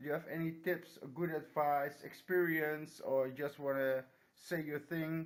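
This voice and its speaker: Fairly slow, monotone speech with flat intonation and a Dutch accent. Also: man, fairly high pitch for a man. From Netherlands. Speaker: hobbyist vlogger. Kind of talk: casual show-and-tell vlog. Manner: halting, many hesitations.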